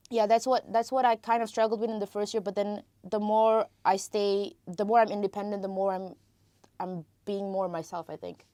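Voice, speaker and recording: A woman of medium pitch speaks at a moderate pace with a dark, mellow tone and big swings in loudness. The sound is dry and close, with no echo. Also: fairly even intonation, very clean recording, silent background. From Malaysia. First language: Tamil. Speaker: international film student. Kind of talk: casual interview. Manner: hesitant with fillers.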